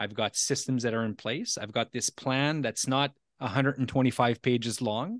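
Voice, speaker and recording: In a French Canadian accent, a man with a medium pitch speaks with fairly even intonation against a quiet background. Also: moderate pace. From Ontario, Canada (Franco-Ontarian). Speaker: podcast host and leadership coach. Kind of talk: casual interview. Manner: halting, with many repeated words.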